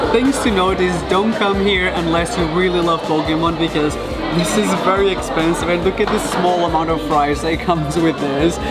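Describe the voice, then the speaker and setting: Loud background music behind a man's voice, moderate in pace. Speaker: food vlogger. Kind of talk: casual vlog chat. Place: cafe. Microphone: phone near.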